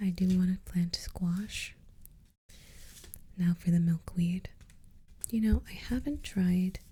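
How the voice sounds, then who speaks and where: A soft-spoken woman talks at a very slow pace in a dark, mellow, relaxed tone, somewhat breathy, with long, frequent pauses. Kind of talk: ASMR gardening session, talking to the viewer. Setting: close-mic studio ASMR recording. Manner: soft-spoken, slow, relaxed.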